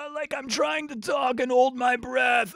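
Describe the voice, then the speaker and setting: Putting on a character voice, a man speaks at a moderate pace in an extremely high pitch for a man, sounding strained, husky and raspy, with light background noise. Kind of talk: vocal technique demo. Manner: talking while holding breath.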